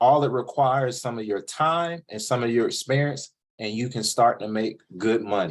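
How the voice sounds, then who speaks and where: A man of medium pitch at a moderate pace, on a very clean recording with a silent background. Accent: Southern US. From US South, coastal North Carolina (Jacksonville). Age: 30s. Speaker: podcast host, author on college vs trade. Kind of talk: interview. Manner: casual, conversational.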